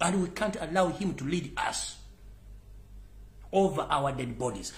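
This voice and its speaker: In a Ugandan accent, a man talks at a moderate pace. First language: Luganda. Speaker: political commentator. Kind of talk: live political rant. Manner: loud; animated.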